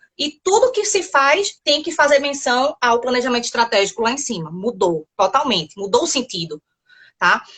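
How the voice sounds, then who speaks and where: A woman talks at a moderate pace in a high voice. Her pitch swings very widely. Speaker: civil engineer and quality consultant. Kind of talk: live webinar interview.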